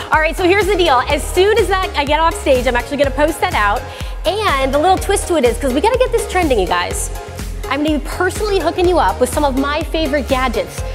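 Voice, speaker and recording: Clear music plays behind a woman speaking at a very fast pace. Her extremely high pitch makes very wide swings. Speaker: tech expert and event host. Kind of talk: live event hosting. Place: stage.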